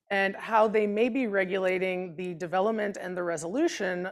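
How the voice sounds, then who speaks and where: On a very clean recording with a silent background, a woman speaks at a medium pitch and a moderate pace, her pitch varying in an ordinary way. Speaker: immunology researcher. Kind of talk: lecture. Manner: loud when excited.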